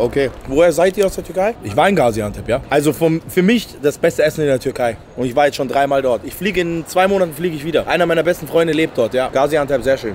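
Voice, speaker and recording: A man with a fairly high pitch talks at a very fast pace, with lively intonation, an animated tone and hardly any pauses. The sound is dry with no echo, over light background noise. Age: 20s. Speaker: YouTuber doing street interviews and food reviews; YouTuber doing street interviews, food reviews. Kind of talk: street interviews and food review vlog. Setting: outdoors in city streets and döner shops.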